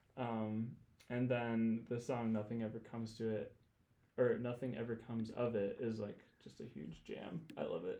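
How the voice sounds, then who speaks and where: Speaking with an American accent, a man uses a medium pitch, a dark, mellow tone and fairly even intonation at a moderate pace. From Michigan, US Midwest. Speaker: worship leader. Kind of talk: casual chat. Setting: studio.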